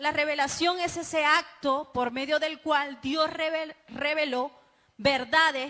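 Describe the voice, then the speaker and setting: A woman speaks in a raised, projected voice at a very slow pace. Her pitch is high and her tone bright and sharp. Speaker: bible teacher. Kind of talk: sermon-style bible class.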